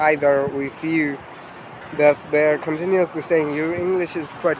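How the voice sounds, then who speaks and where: A man's fairly high voice with a non-native accent, at a moderate pace, over noticeable background noise. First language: not English. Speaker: English learner, channel owner. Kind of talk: casual chat. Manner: halting.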